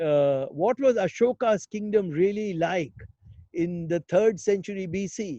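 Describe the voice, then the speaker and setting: At a fairly slow pace, the voice has a dark, mellow tone and lively intonation, in a dry, close sound with no echo. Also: man. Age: 60s. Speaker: investor and health innovation speaker. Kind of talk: webinar interview.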